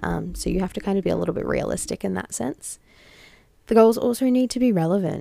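Speaking very fast with an Australian accent, a woman is heard in a dry, close recording with no echo. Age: 20s. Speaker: podcast host, founder of a social change network. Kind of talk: solo advice podcast.

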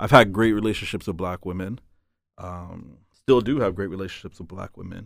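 An ordinary speaking voice moves at a fairly quick pace over a very clean recording with a silent background. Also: man, fairly low pitch for a man, ordinary pitch variation, big swings in loudness. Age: 30s. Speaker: podcast co-host. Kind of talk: casual chat.

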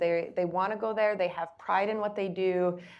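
A woman's ordinary speaking voice with an American accent, medium pitch, fairly even intonation and a moderate pace against a quiet background. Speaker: business services director at a lender. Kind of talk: panel discussion.

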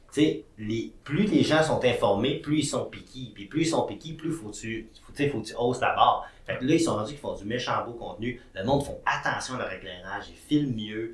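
A man at a moderate pace, with big swings in loudness, audible room echo and noticeable background noise. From Quebec, Saguenay-Lac-Saint-Jean. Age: 30s. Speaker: entrepreneur and TV host. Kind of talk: casual interview.

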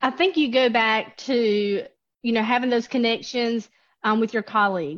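A woman with an unremarkable speaking voice talks at a moderate pace, her pitch fairly high and her pitch variation ordinary. Her loudness stays very even against a quiet background. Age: 30s. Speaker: nursing program director. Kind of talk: interview.

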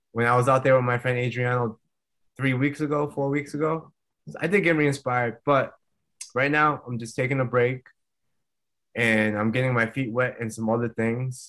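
A man's medium-pitched voice at a moderate pace, fairly even in intonation, with long, frequent pauses. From Rhode Island, US. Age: 30s. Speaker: retired MMA fighter. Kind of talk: interview.

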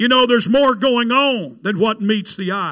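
On a very clean recording with a silent background, a man with a Southern US accent speaks at a moderate pace in a raised, projected voice, extremely high in pitch with a bright, sharp tone. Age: 60s. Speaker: evangelist preacher. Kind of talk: sermon. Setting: church with congregation. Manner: animated.

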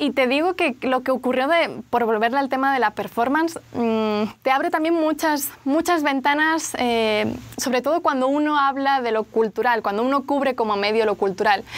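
A woman with a Spanish accent speaks at a moderate pace, with high pitch and ordinary pitch variation. Her loudness is very even, and she hardly pauses. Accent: Spanish, noticeable. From Spain, Barcelona. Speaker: journalist. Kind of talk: interview.

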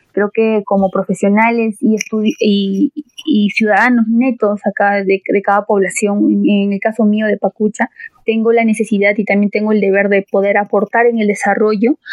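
A woman speaks at a fairly high pitch and a moderate pace. Her intonation is monotone and flat, and her loudness stays very even. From Peru, Andahuaylas, Apurímac (Andean highlands). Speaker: agricultural engineering student. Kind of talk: podcast interview.

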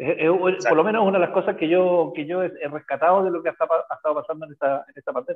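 The speech moves at a fairly quick pace with hardly any pauses. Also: man, high pitch for a man, ordinary pitch variation. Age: 60s. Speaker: physics teacher and rugby coach. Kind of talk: casual chat. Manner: halting, many repetitions.

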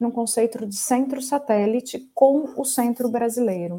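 A woman's fairly high pitch in a dark, mellow tone. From Brazil, Ribeirão Preto (São Paulo state). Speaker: shared services center executive. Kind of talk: interview.

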